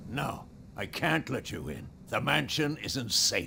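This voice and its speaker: A man puts on a raspy character voice at a fairly slow pace. Background noise is clearly heard. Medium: video game. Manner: gruff, guarded.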